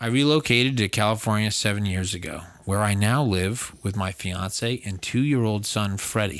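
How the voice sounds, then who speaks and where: A man speaks at a moderate pace with hardly any pauses, his fairly low voice showing ordinary pitch variation. It is an unremarkable speaking voice on a very clean recording with a silent background. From Massachusetts, US. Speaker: podcast host. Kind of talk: casual chat; reading aloud.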